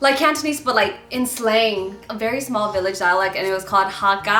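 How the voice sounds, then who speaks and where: A woman with an American accent speaks fairly quickly, her intonation lively and her pitch fairly high. Noticeable background noise and audible room echo fill the recording. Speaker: YouTuber. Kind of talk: casual chat.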